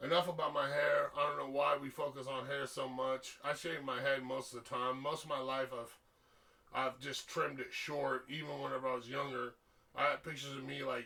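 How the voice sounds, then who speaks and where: A fairly high male voice at a moderate pace amid noticeable background noise. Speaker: musician. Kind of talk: casual monologue.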